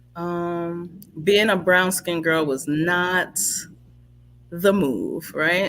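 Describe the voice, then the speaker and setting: A woman's fairly low, bright, sharp voice in a New York accent, at a very slow pace with fairly even intonation. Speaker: livestream talk show host. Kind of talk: casual conversation. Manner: conversational.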